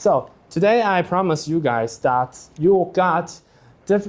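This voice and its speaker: A man with a Taiwanese accent, at a fairly slow pace with ordinary pitch variation. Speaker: teaching assistant. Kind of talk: lecture. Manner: halting.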